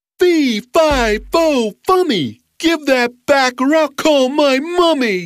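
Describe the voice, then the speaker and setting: A put-on, high-pitched character voice, bellowing at a very slow pace with hardly any pauses. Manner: roaring, menacing.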